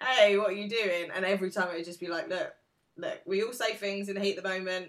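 A woman's medium-pitched voice with an English accent and fairly even intonation. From England. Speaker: podcast co-host. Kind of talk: casual chat.

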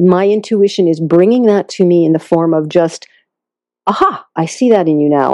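A woman with an American accent speaks at a moderate pace, with medium pitch and ordinary pitch variation. It is an ordinary speaking voice. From Massachusetts, US. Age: 60s. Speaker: intuitive healer and counselor. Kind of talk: interview.

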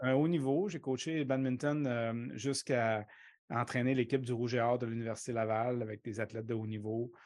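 A man talks in an unremarkable speaking voice at a medium pitch and moderate pace. His intonation is fairly even, and the background is quiet. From Quebec City, Limoilou. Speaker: baseball coach and professor. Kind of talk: casual interview.

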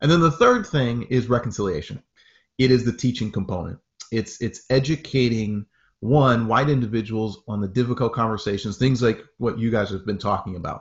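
A man's voice, somewhat breathy and of medium pitch, moves fairly quickly with ordinary variation in pitch. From northern Maine (Aroostook County). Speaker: pastor and racial equity advocate. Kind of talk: interview.

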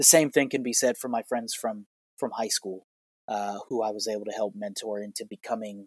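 With an American accent and a medium pitch, a man talks fairly quickly with fairly even intonation, recorded dry and close with no echo. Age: 30s. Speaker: healthcare consultant and former teacher. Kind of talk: personal story monologue. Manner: halting.

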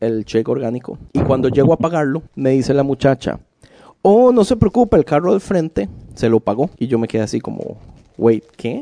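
With a dark, mellow tone and very wide pitch swings, the voice moves at a moderate pace in a dry, close sound with no echo. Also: man. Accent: Costa Rican. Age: 30s. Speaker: podcast co-host. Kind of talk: casual chat.

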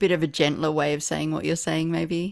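Vocal fry runs through a woman's voice on a very clean recording with a silent background. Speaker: poet and writer. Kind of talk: casual conversation.

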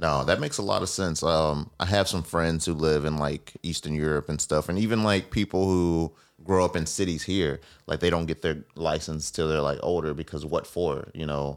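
The voice carries an American accent. The recording is very clean, with a silent background. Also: man, very deep, low pitch for a man, fairly even intonation, moderate pace. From Mississippi, US South. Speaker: podcast host. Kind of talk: casual interview.

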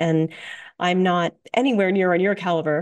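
A woman's normal speaking voice, fairly low in pitch, with fairly even intonation, a moderate pace and a quiet background. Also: dry, close sound with no echo. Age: 50s. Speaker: radio host, holistic dietitian. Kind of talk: casual interview.

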